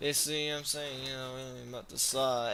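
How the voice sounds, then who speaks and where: A man speaks at a fairly high pitch. Audible room echo and noticeable background noise come through. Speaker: gaming streamer. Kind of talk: casual chat. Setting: live stream. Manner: halting.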